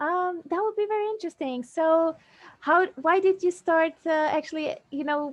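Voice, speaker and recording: Speaking in a non-native accent, the voice keeps a moderate pace with ordinary pitch variation. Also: woman, extremely high pitch for a woman. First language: not English. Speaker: fitness influencer. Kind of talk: interview. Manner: halting.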